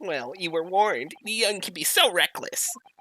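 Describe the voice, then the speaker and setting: A man puts on a character voice at a high pitch. He talks at a moderate pace. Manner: loud, annoying.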